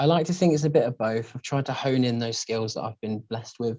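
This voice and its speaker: A man speaks with a British accent. His tone is dark and mellow. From English Midlands, Northampton. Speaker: singer. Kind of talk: casual interview.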